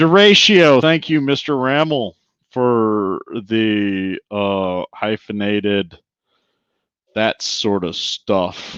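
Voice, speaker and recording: Dry, close sound with no echo, a quiet background, an American accent and lively intonation. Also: man. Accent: southern, comes out when drinking. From US Midwest. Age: 40s. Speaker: podcast host. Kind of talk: casual chat. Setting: live stream. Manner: animated.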